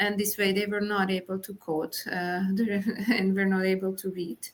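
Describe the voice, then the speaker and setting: A woman with a Hungarian accent, medium pitch and a moderate pace. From Hungary. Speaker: Montessori teacher. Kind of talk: interview discussion. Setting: podcast recording. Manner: hesitant, many fillers.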